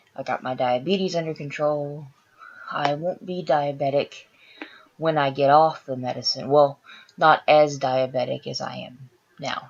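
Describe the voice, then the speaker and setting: At a fairly slow pace, a woman with a very deep, low pitch speaks with big swings in loudness. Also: fairly even intonation. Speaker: vlogger with chronic illness. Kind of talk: personal health story vlog. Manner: casual, frequent filler sounds.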